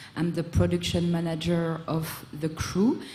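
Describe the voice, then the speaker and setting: This woman's pitch sits fairly low and she talks in a French accent. Noticeable background noise and audible room echo fill the recording. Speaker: music production manager and event organizer. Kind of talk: panel discussion. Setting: stage with audience at festival.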